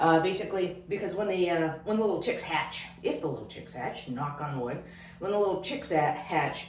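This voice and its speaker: A woman speaks with a fairly low pitch. Noticeable background noise and audible room echo surround her. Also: ordinary pitch variation. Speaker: homestead vlogger. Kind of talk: casual vlog. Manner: hesitant, many fillers; fast.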